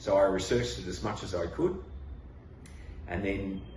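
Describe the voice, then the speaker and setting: In an Australian accent, a man speaks with audible room echo and noticeable background noise. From Western Australia. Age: 70s. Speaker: patient. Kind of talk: testimony. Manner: halting.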